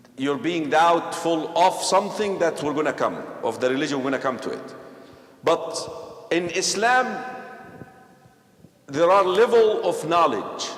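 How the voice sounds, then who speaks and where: A man with an Egyptian accent speaks at a high pitch and a fairly slow pace, taking long, frequent pauses. His tone is animated and his intonation lively, with noticeable background noise and audible room echo. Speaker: imam. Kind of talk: religious class discussion with youth.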